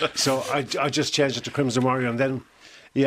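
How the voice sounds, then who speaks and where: A man with an Irish accent at a fairly quick pace, on a very clean recording over a silent background. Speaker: musician and songwriter. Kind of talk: interview. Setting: studio.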